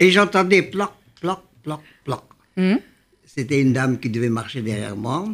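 Very wide pitch swings mark this man's speech, broken by long, frequent pauses. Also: fairly high pitch for a man, moderate pace. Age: 80s+. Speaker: elderly grandparent guest. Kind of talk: casual chat.

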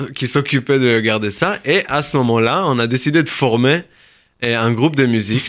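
A man speaks with a Hebrew accent at a medium pitch and moderate pace. Pitch variation is ordinary, and the recording is very clean with a silent background. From southern Israel, kibbutz. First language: Hebrew (speaking French). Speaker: musician and Yiddish teacher. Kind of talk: radio interview. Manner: hesitant, many fillers.

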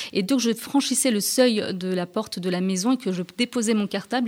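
A woman talks fairly slowly, keeping her intonation fairly even. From France (Rennes, Strasbourg), Turkish Alevi family. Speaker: journalist and author. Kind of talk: radio interview. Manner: halting, repeats words.

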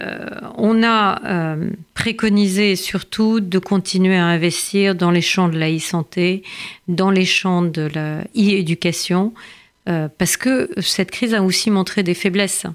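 On a very clean recording with a silent background, a woman speaks at a very slow pace in a medium pitch with fairly even intonation. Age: 50s. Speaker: member of parliament. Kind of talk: interview.

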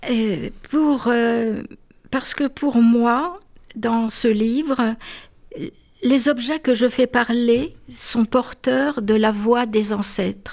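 A woman speaks at a very slow pace in a fairly high pitch. Her loudness is very even, and her pitch variation is ordinary. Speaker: author. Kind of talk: reading aloud.

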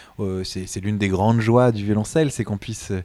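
Dark, mellow male voice, fairly low-pitched with fairly even intonation, on a very clean recording with a silent background. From France, Montreuil near Paris. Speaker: cellist and conductor. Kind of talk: interview. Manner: halting, many hesitations.

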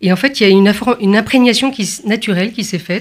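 A woman with a plain, everyday voice speaks at a fairly quick pace and a medium pitch with ordinary pitch variation, in a very clean recording with a silent background. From France, Paris area and Provence. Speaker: concert pianist. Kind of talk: radio interview.

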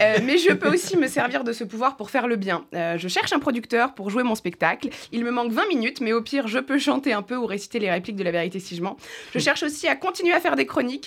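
A woman speaks very fast with very wide pitch swings at a fairly high pitch. Noticeable background noise runs underneath. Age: 30s. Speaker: comedian. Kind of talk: scripted chronicle.

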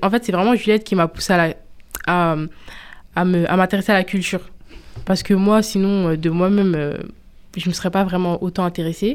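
A woman speaks at a moderate pace in a medium pitch, her intonation fairly even and broken by long, frequent pauses, on a very clean recording with a silent background. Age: 20s. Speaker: student. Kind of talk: radio interview.

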